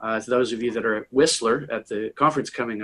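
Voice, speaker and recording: In an American accent, a man talks at a fairly quick pace with a medium pitch and fairly even intonation, in an ordinary speaking voice. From US South, Tennessee. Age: 60s. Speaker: impact investor and author. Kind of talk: conversational interview. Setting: conference call.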